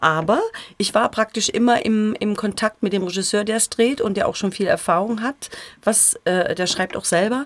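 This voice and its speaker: Someone talks at a moderate pace amid noticeable background noise. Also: woman. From Thuringia, Erfurt. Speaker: actress and voice actress. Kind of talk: casual chat. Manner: clear articulation.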